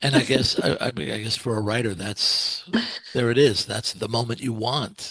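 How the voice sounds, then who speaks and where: A man's medium-pitched voice moves at a moderate pace. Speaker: podcast host. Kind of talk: interview question.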